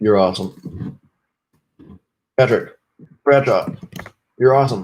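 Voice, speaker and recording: A man with an American accent, medium in pitch and somewhat breathy, with ordinary pitch variation and a fairly slow pace. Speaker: live streamer, programmer. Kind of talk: live stream chat. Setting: live stream. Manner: repetitive, casual.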